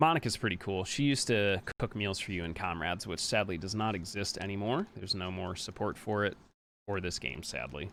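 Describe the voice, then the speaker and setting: This man has an ordinary speaking voice, fairly low in pitch, with an American accent. He talks at a fairly quick pace with ordinary pitch variation, in a very clean recording with a silent background. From Pennsylvania, US. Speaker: speedrunner. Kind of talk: live gameplay commentary. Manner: casual, chatty.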